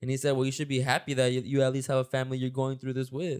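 An energetic tone on a very clean recording with a silent background. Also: man. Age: 20s. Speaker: podcast host. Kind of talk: casual podcast hosting. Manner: fast talker, energetic.

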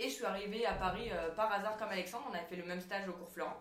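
There is audible room echo around the woman speaking. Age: 20s. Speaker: stage actress and director. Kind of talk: casual chat.

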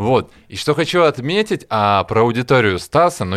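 A man with an unremarkable speaking voice talks at a fairly slow pace with lively intonation. The recording is very clean, with a silent background. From Russia, Smolensk. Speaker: session drummer. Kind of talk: casual chat. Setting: studio.

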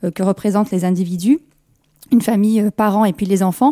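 Fairly high-pitched woman's voice, dark and mellow in tone, in a dry, close sound with no echo. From France, Kabyle family. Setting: radio studio.

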